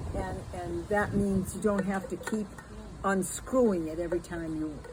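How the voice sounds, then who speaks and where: Amid noticeable background noise, a woman talks at a moderate pace, her fairly low pitch showing ordinary variation. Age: 80s+. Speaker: elderly vlogger reviewing a product. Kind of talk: casual product review chat. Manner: halting.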